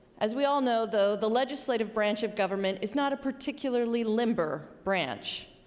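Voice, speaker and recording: With an American accent, a woman talks at a moderate pace in a fairly high voice with lively intonation over noticeable background noise. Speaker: state senator. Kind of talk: legislative floor speech. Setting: legislative chamber.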